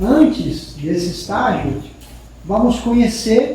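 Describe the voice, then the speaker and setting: Very slow speech with lively intonation, against noticeable background noise and audible room echo. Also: man. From Peru. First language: Spanish (speaking Portuguese). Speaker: spiritist lecturer, professor. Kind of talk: spiritist lecture.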